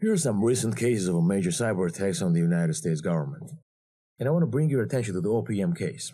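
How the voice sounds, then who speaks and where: In a Georgian accent, a man with a fairly low, dark, mellow voice talks at a very fast pace with very wide pitch swings and very even loudness on a very clean recording with a silent background. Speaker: cyber security instructor. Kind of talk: lecture.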